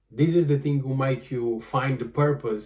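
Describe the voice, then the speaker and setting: A man talks with a Portuguese accent, his voice somewhat breathy. His pitch is medium, his pace moderate and his intonation fairly even. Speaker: vlogger and photographer. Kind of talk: casual monologue vlog. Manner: halting, many fillers.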